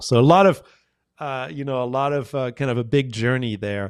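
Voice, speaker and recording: The recording is very clean, with a silent background. A man with a medium pitch speaks at a fairly quick pace. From France. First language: French. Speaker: communication professor. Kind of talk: podcast interview.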